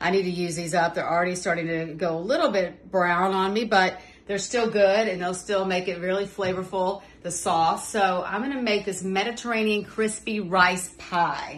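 A woman talks at a moderate pace, her intonation fairly even. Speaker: home cook host. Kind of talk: cooking tutorial. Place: kitchen. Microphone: phone near.

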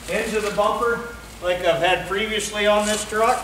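Light background noise and audible room echo surround a man speaking with fairly even intonation. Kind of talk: casual tutorial chat. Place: garage. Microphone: camera far.

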